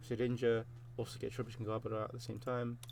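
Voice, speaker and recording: A man's somewhat breathy, medium-pitched voice in a monotone, flat intonation. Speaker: gaming youtuber. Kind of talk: gameplay commentary. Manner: fast; halting. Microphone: recording quality may be poor, new PC setup.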